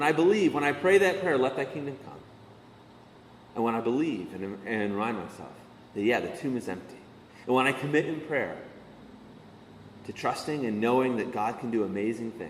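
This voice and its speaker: A man talks at a fairly quick pace with lively intonation and long, frequent pauses. Room echo is audible. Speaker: pastor. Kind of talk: sermon.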